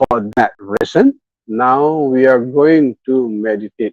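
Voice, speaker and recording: A man speaks with an Indonesian accent. His pitch is medium. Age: 60s. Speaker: meditation teacher. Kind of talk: guided meditation talk. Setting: hotel room, online live session. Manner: bilingual, alternating English and Indonesian.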